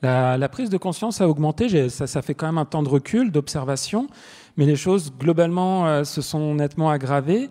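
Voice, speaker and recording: Against a quiet background, a man with a dark, mellow tone and fairly high pitch talks at a moderate pace with ordinary pitch variation. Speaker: panelist, author. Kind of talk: panel discussion. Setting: stage with audience. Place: stage. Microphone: handheld.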